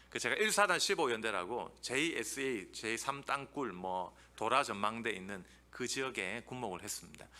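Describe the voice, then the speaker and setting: A man's bright, sharp, medium-pitched voice with a Busan accent and lively intonation, in audible room echo. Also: moderate pace. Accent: Busan (Gyeongsang) intonation. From Busan, South Korea. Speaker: theology professor. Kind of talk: lecture. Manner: animated.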